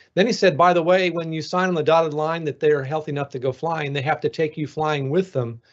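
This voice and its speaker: Very fast and fairly high-pitched, a man speaks with fairly even intonation over a quiet background. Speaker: NASA flight surgeon; guest. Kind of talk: panel discussion. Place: home room. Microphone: video call.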